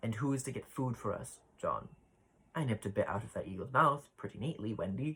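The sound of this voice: What we hear is an unforced reading voice.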